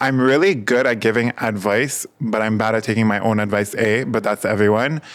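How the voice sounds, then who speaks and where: Using an ordinary speaking voice, a man of medium pitch talks at a fairly quick pace with fairly even intonation, very even loudness and hardly any pauses. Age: 20s. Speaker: podcast host. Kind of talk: casual chat.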